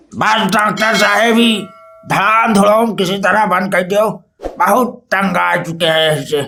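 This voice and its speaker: Raised and projected, a man's cartoonish character voice sits high in pitch, moving at a moderate pace with fairly even intonation. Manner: pleading, meek.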